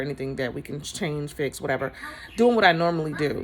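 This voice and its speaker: With noticeable background noise, a woman speaks at a very fast pace and a very deep, low pitch. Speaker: hair stylist and inspirational speaker. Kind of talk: casual encouraging talk to camera. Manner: conversational, hesitant with fillers.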